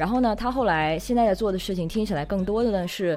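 Lively intonation marks this woman's plain, everyday voice. She talks at a fairly quick pace with medium pitch. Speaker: podcast host. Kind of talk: casual interview chat. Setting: remote recording.

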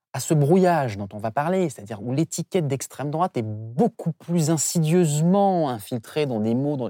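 Moderate-paced speech over music in the background. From Saint-Pierre-et-Miquelon. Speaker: semiologist and political communication expert. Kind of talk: interview.

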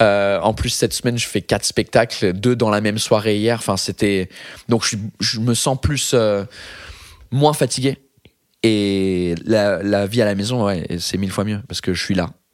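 A man's fairly low voice, fairly slow and fairly even in intonation, broken by long, frequent pauses. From England. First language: English (speaking French). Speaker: comedian. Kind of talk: casual chat. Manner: halting.

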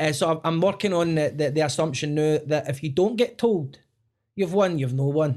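On a very clean recording with a silent background, a man speaks with a west of Scotland accent. His pace is moderate and his pitch variation ordinary. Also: fairly high pitch for a man. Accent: west of Scotland Scottish. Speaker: podcast host. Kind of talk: casual interview chat. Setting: studio.

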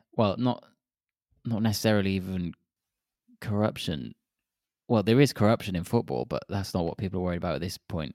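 A man with a fairly low pitch and vocal fry talks fairly quickly between long, frequent pauses, with ordinary pitch variation and a dry, close sound with no echo. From Wales. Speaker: podcast co-host. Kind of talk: casual chat. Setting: remote call.

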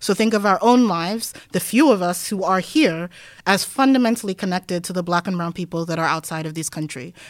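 In a very clean recording with a silent background, a woman at medium pitch talks very fast, with big swings in loudness and ordinary pitch variation. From Denmark. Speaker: academic researcher. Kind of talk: interview conversation.

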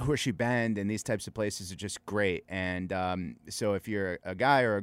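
A man with a normal speaking voice talks at a fairly quick pace and a fairly low pitch with ordinary pitch variation. The recording is very clean, with a silent background. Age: 40s. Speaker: world traveler. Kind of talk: casual chat.

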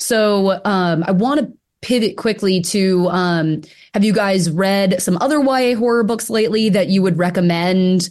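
A woman's normal speaking voice at medium pitch and moderate pace, with ordinary pitch variation, very even loudness and a quiet background. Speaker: book editor hosting author interview. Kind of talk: moderated author conversation.

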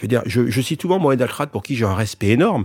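The speech moves at a very fast pace with lively intonation, in a dry, close sound with no echo. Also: man. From France, child of immigrants. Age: 60s. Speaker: entrepreneur and rugby club owner. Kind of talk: interview. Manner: halting.

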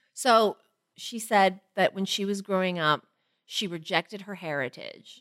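A woman uses an ordinary speaking voice at a medium pitch and fairly slow pace, with ordinary pitch variation and big swings in loudness, in a very clean recording with a silent background and a dry, close sound with no echo. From Toronto, Canada. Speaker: podcast host. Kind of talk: casual chat.

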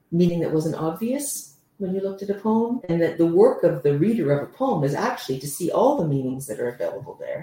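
Speaking with a Canadian accent, a woman uses lively intonation at a fairly quick pace, her medium-pitched voice somewhat breathy with a dark, mellow tone. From Canada. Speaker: professor. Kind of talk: interview.

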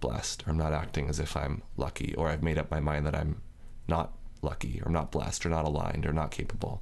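A man with a very deep, low pitch and vocal fry speaks in an American accent at a fairly quick pace. His intonation is fairly even, and audible room echo surrounds him. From Northern California. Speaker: yoga teacher. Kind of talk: casual chat.

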